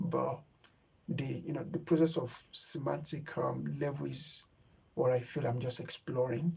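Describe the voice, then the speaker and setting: This man's voice sits at a fairly high pitch, with vocal fry. He talks at a moderate pace with ordinary pitch variation. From Nigeria. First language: Yoruba. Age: 30s. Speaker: YouTube creator. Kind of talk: live stream chat. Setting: live stream. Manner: halting, with many fillers.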